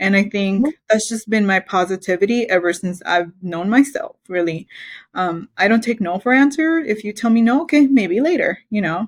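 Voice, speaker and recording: Lively intonation marks this woman's speech. Her voice is somewhat breathy. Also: medium pitch for a woman, moderate pace. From Belize. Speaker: mechanical engineer. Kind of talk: interview.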